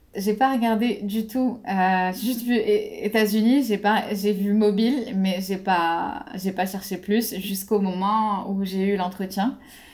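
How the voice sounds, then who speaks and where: This woman talks at a very slow pace with hardly any pauses. Her pitch is medium and her intonation fairly even. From Morocco. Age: 20s. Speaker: aerospace engineer. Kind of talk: interview. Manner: halting.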